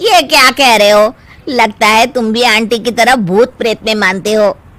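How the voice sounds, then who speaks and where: Using a cartoonish character voice, a woman speaks at a fairly high pitch and a moderate pace with ordinary pitch variation. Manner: polite, laughs easily.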